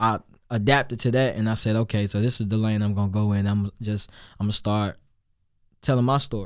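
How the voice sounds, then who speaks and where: Talking at a very fast pace, a man keeps a fairly low pitch and fairly even intonation in a very clean recording with a silent background. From Chicago, South Side. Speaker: rapper and singer. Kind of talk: interview.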